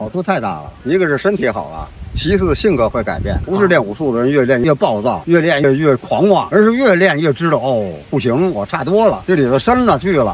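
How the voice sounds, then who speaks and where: A man with a fairly high voice speaks at a fairly quick pace with very wide pitch swings, in a dry sound with no echo and light background noise. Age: 70s. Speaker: retired martial arts practitioner. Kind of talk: street interview answer. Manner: casual, talkative. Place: garden. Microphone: phone near.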